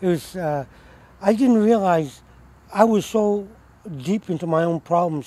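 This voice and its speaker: This man has a dark, mellow tone, ordinary pitch variation, and an American accent. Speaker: homeless Vietnam War veteran. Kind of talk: interview answer, recounting war stories.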